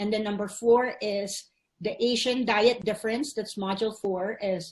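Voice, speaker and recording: Somewhat breathy, a woman speaks at medium pitch and a moderate pace with fairly even intonation, the background quiet. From Philippines. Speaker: physical therapist. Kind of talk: online summit presentation.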